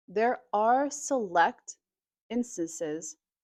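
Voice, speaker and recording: With an American accent, a woman talks at a medium pitch and with lively intonation, her sound dry and close with no echo. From United States. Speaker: English teacher. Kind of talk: educational talk to camera, slow English lesson. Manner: slow, clear, measured.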